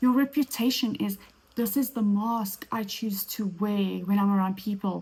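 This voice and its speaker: At a moderate pace, a woman with a South African accent talks in a fairly high pitch with a dark, mellow, somewhat breathy tone. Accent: Afrikaans South African, rolled R. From South Africa, Afrikaans small town. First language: Afrikaans. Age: 30s. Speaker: podcast host. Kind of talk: solo podcast monologue.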